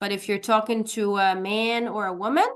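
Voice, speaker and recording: With an Arabic accent, a woman speaks fairly slowly at a fairly high pitch in a monotone, flat intonation. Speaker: English teacher. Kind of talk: online language class. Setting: video call.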